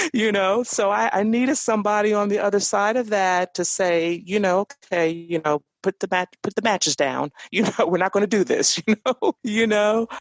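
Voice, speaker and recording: At medium pitch and a moderate pace, a woman speaks with very even loudness, ordinary pitch variation and hardly any pauses. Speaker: radio/TV personality, voice-over talent. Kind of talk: interview answer.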